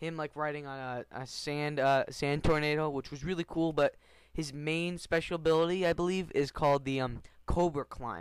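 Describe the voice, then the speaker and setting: Against a silent background on a very clean recording, a man talks with a fairly high pitch. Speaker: gaming YouTuber. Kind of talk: casual video commentary. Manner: fast; animated.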